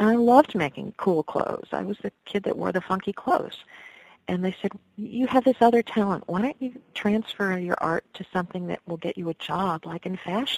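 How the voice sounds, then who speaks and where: In an American accent, a woman with an ordinary speaking voice talks at a moderate pace and medium pitch, with ordinary pitch variation and a dry, close sound with no echo. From New York (Westchester area). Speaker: folk singer. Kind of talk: interview.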